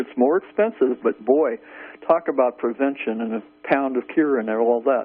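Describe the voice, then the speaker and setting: A man is speaking. He has a plain, everyday voice. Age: 60s. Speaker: caller. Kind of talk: radio call-in question.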